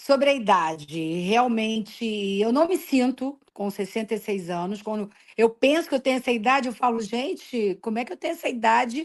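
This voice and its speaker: Lively intonation marks this woman's fairly high-pitched, unremarkable speaking voice at a moderate pace. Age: 60s. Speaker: retired school principal. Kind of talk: interview.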